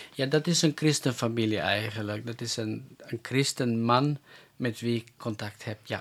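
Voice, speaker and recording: Over a silent background on a very clean recording, a man talks at a fairly slow pace with a medium pitch and ordinary pitch variation. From North Macedonia (Roma), raised in Germany and the Netherlands. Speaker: evangelist. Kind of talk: interview. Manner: halting.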